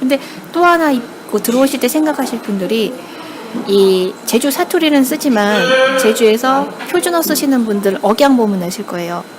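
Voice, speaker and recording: Lively intonation marks this woman's high-pitched voice. Noticeable background noise can be heard. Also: moderate pace. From Jeju Island, South Korea. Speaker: newspaper reporter. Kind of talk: casual interview.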